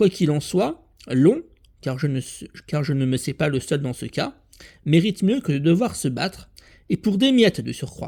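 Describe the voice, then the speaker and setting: A man with a fairly high pitch speaks fairly slowly, with lively intonation and long, frequent pauses. The recording is very clean, the background silent. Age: 40s. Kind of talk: personal video appeal. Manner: halting.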